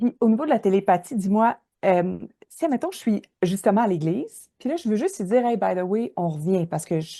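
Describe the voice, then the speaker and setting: A woman with a Quebec accent talks at a fairly quick pace with lively intonation. Her voice sits at a medium pitch and has a dark, mellow tone. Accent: Québécois French. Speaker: podcast host. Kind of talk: casual interview. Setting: travelling on the road, recording live. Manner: loud.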